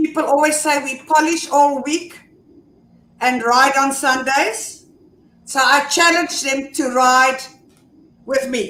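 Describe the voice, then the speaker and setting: Very slowly and with long, frequent pauses, a woman projects a raised voice at high pitch with a bright, sharp tone and fairly even intonation, and audible room echo surrounds her. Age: 60s. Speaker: motorcycle club officer. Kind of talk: casual chat.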